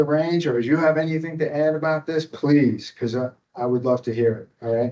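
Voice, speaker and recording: Moderate-paced speech from a man with a New York accent, medium pitch and ordinary pitch variation. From upstate New York. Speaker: kung fu teacher. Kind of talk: workshop talk. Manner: casual, conversational.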